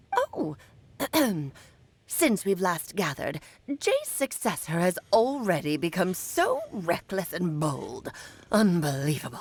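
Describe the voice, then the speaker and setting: Using a put-on character voice at a medium pitch, a woman talks fairly slowly with long, frequent pauses. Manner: disdainful, scolding.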